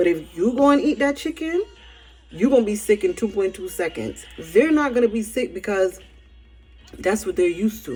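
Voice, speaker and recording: With music in the background, a woman in a Barbadian accent speaks at a moderate pace and a fairly high pitch, her pitch swinging very widely. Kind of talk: casual spiritual message to camera.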